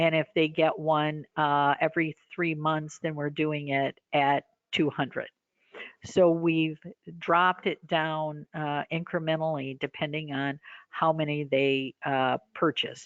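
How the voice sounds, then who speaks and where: A woman speaks very slowly in a very deep, low voice. Her intonation is flat and monotone. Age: 60s. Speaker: orthodontist. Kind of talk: webinar Q&A answers. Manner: hesitant, many fillers.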